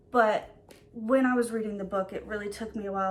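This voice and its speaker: The speech runs at a very fast pace with ordinary pitch variation. Noticeable background noise is present. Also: woman. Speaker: book YouTuber. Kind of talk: casual vlog chat. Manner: hesitant with many fillers.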